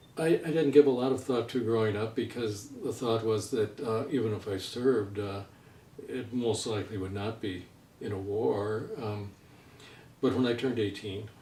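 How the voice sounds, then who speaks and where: Medium in pitch, a man's voice carries a dark, mellow tone and is somewhat breathy. His intonation is fairly even. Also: moderate pace. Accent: American. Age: 70s. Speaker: writer. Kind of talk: interview. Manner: halting.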